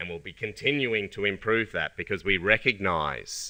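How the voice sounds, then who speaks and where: A man with an Australian accent speaks in a bright, sharp tone with lively intonation. The recording is very clean, with a silent background. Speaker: company scientist presenting products. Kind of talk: conference presentation.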